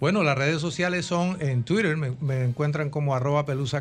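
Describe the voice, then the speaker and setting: Words move at a fairly quick pace. The somewhat breathy voice shows ordinary pitch variation. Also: man. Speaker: composer and music director. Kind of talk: interview. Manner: formal.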